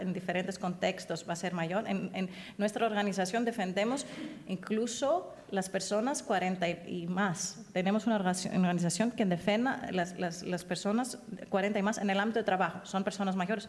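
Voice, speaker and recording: Somewhat breathy, a woman with a non-native accent speaks at a medium pitch with fairly even intonation. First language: not Spanish (speaking Spanish). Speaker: human rights advocate, conference speaker. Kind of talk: panel discussion, answering audience. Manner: halting, many false starts.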